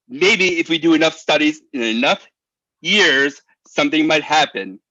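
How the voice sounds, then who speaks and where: A loud man's bright, sharp tone with lively intonation, in a dry, close sound with no echo. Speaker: public commenter at town meeting. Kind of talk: public comment speech. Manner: halting.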